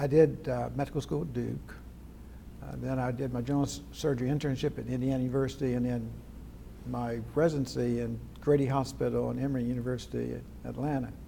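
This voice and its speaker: Speaking at a fairly quick pace, a man leaves long, frequent pauses while audible room echo surrounds his voice. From West Virginia, Charleston area. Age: 80s+. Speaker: retired plastic surgeon. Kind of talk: oral history interview.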